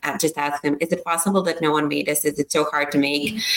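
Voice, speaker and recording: A woman with a Serbian accent and a very deep, low pitch speaks at a fairly quick pace amid noticeable background noise. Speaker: startup founder. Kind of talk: interview.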